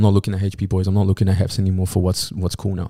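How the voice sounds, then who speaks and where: Recorded very cleanly against a silent background, a man speaks with a Sydney accent at a fairly low pitch. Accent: Australian (Sydney). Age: 20s. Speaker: DJ and music producer. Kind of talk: casual chat.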